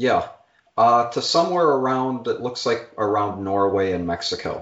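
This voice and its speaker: This man has an unremarkable speaking voice, medium in pitch, moving at a fairly slow pace with lively intonation. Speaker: podcast producer. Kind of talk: casual chat.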